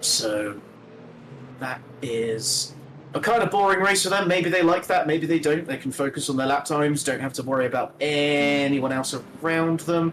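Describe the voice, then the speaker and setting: A fairly high-pitched man talks at a moderate tempo with ordinary pitch variation, noticeable noise sounding behind him. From Britain. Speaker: sim racing commentator. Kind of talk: live commentary.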